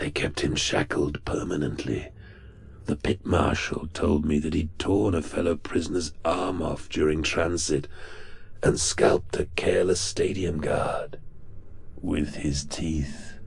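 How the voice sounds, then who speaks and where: A man puts on a character voice. It sits at a very deep, low pitch and moves at a fairly slow pace. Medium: read story. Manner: languid, erudite, mocking.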